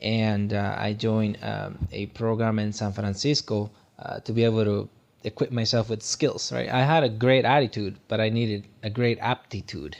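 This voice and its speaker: A man with a Guatemalan accent, fairly low pitch, moderate pace and fairly even intonation. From Guatemala, rural sugarcane region. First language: Spanish. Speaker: tech worker and motivational speaker. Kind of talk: podcast interview.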